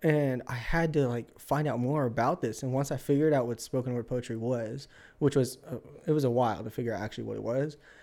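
Speaking at a very fast pace, a man uses a medium pitch and a dark, mellow tone. The recording is very clean, with a silent background. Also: fairly even intonation. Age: 20s. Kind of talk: casual chat.

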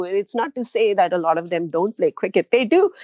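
Very wide pitch swings mark this woman's voice. Her pace is moderate. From India, Punjab. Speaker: policy analyst and columnist. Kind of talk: interview.

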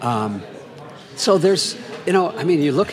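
A man with an American accent and very wide pitch swings, at a moderate pace, amid audible room echo and noticeable background noise. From US Midwest, southwestern Minnesota. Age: 60s. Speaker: composer and novelist. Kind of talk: casual interview conversation. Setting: over drinks on location.

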